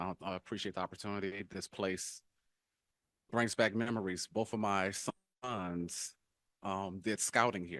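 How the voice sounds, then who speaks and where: Very deep and low, a man's voice carries a New Orleans accent and fairly even intonation on a very clean recording with a silent background, dry and close with no echo. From New Orleans, Louisiana. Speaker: political candidate. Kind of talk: candidate forum speech. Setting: town hall forum in church fellowship hall. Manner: halting, many fillers.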